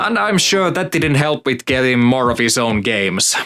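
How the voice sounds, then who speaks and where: Amid noticeable background noise, a man with a non-native accent speaks at a fairly quick pace, his pitch swinging very widely. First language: not English. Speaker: gaming YouTuber. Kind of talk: scripted narration.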